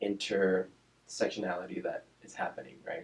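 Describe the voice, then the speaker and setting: A man speaks with a Spanish accent. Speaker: speech-language pathologist. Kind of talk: interview. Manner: casual, with fillers and repetitions.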